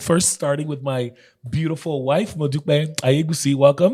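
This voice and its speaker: A man's fairly high, somewhat breathy voice with a dark, mellow tone, fairly quick pace and ordinary pitch variation. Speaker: pastor and podcast host. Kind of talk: casual panel chat.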